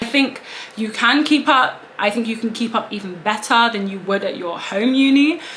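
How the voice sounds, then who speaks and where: A woman's fairly high voice with a British accent, moderate pace and ordinary pitch variation, over noticeable background noise. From England. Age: 20s. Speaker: law student. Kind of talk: casual talk to camera.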